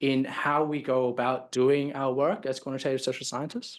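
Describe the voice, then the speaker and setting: This man has an Australian accent and speaks at a moderate pace. The background is quiet. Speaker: professor. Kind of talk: lecture. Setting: stage with audience. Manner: halting, many fillers and repetitions.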